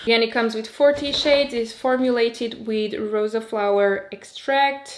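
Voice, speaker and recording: Lively intonation from a woman with a Portuguese accent, fairly high in pitch, at a moderate pace, with noticeable background noise. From Portugal. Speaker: beauty youtuber. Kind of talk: product review. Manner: casual, chatty.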